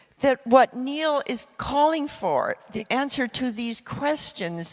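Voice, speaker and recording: With noticeable background noise yet a dry, close sound with no echo, a woman speaks very slowly at a high pitch using lively intonation. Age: 80s+. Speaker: futurist speaker. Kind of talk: public talk with live interpretation. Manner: speaks in short phrases for interpreter.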